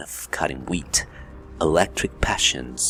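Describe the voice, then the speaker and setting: A man talks fairly slowly with music playing behind him. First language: Spanish. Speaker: YouTuber reading books. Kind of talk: reading aloud. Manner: halting.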